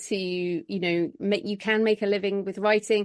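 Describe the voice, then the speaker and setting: A woman speaks with an English accent at a fairly high pitch. The background stays quiet. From England. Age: 40s. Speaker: author. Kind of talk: interview.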